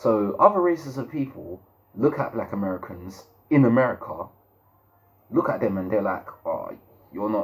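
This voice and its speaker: Speaking with a London accent, a man uses a medium pitch and very wide pitch swings, leaving long, frequent pauses. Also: moderate pace. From London, England. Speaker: YouTube commentator. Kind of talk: opinion monologue. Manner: halting, repeats words.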